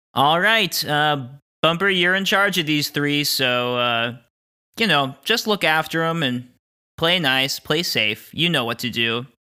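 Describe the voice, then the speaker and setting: Using a put-on character voice with a fairly high pitch, a man speaks at a fairly slow pace in a very clean recording with a silent background. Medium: actual play. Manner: brisk, cheerful.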